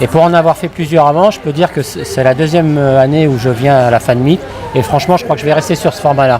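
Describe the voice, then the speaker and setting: Over crowd noise in the background, a man with a fairly high voice talks at a very fast pace with ordinary pitch variation. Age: 60s. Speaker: fan at a convention. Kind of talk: casual interview. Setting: fan convention. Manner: halting.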